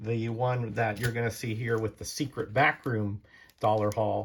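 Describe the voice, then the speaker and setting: Somewhat breathy, a man speaks at a moderate pace. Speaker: comic collector YouTuber. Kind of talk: casual haul video. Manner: casual, hesitant with fillers.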